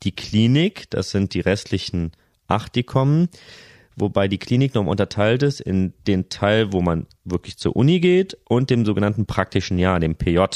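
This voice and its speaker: With a normal speaking voice, a man talks at a moderate pace and a fairly low pitch with lively intonation, recorded very cleanly against a silent background in a dry, close sound with no echo. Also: very even loudness. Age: 30s. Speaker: family doctor. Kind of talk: casual chat.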